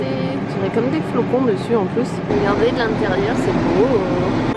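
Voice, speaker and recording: A woman's lively intonation comes across amid noticeable background noise and audible room echo. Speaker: lifestyle vlogger. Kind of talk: casual vlog. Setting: outdoors by a fire at a chalet. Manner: animated.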